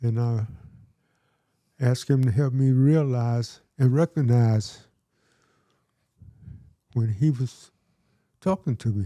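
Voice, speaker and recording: Over a very clean recording with a silent background, a man with a dark, mellow, medium-pitched voice talks at a very slow pace, leaving long, frequent pauses, his loudness very even and his pitch varying in an ordinary way. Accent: Southern US. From Georgia, USA. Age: 80s+. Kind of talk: interview answer.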